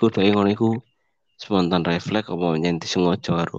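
A man with a very deep, low pitch talks fairly quickly, his pitch varying in an ordinary way. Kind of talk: casual chat about football.

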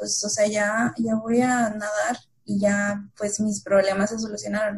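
A woman's fairly high voice stays monotone and flat as she talks at a fairly slow pace. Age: 20s. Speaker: consultant, contest-winning guest. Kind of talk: casual chat.

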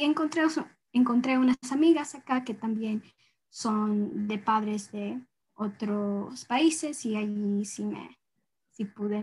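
Speaking at a very slow pace, a woman uses a somewhat breathy, fairly high voice with ordinary pitch variation. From US and rural Ecuador, Ecuadorian parents. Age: young. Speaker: environmental activist, university student. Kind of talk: interview. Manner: halting, many fillers.

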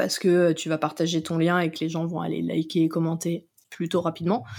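A woman with vocal fry and fairly even intonation, in a very clean recording with a silent background. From France, Vendée coast (Noirmoutier). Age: 20s. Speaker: content marketing manager. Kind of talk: casual interview chat. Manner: hesitant, many fillers and repetitions.

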